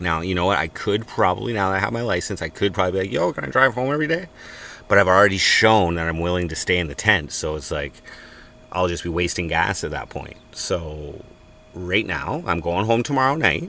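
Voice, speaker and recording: A man's very deep, low voice, lively intonation and fairly quick pace amid noticeable background noise. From Canada, Cornwall, Ontario. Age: 40s. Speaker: live streamer. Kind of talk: casual chat. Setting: in a tent at a farm work site.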